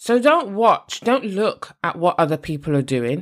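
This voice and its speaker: Recorded very cleanly against a silent background, a woman with a British accent speaks at a fairly slow pace and medium pitch. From UK. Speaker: podcast host and podcast editor. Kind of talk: solo podcast monologue with tips.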